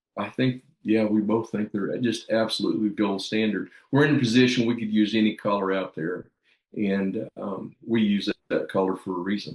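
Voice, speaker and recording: An unremarkable speaking voice from a man, fairly low in pitch, at a moderate pace with fairly even intonation. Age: 60s. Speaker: dog trainer. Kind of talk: casual chat.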